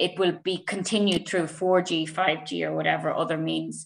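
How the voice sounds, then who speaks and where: A woman talks at a fairly slow pace with an Irish accent. The background is quiet. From Ireland. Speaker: researcher and assistant professor; assistant professor. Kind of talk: academic webinar presentation. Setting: video call. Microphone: video call.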